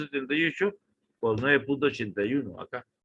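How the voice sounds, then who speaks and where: Here a man speaks in a plain, everyday voice. He moves at a fairly quick pace with ordinary pitch variation. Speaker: university engineering lecturer. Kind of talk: online lecture.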